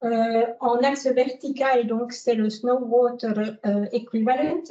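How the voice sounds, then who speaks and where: A very slow speaker with a slight Italian accent, a dark, mellow tone and fairly even intonation. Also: woman. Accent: French slightly affected by daily Italian. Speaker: dam engineer. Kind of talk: lecture. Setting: lecture hall with audience. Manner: hesitant, many fillers.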